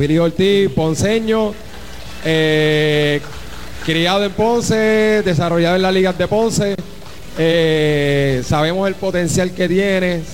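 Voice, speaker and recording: A man's high-pitched voice at a very slow pace, with ordinary pitch variation and very even loudness, plus audible room echo and noticeable background noise. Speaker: baseball team manager. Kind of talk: speech to a team event.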